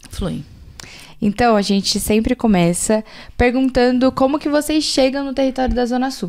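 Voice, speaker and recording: In a São Paulo accent, a woman speaks at a moderate pace. Her voice is high, with ordinary pitch variation. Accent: Paulistano Brazilian Portuguese. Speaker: podcast host. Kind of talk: casual chat.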